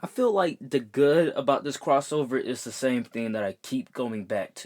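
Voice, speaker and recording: Lively intonation and big swings in loudness mark this man's speech. His pitch is fairly high, and his pace is moderate. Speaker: TV show reviewer. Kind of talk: video review. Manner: animated.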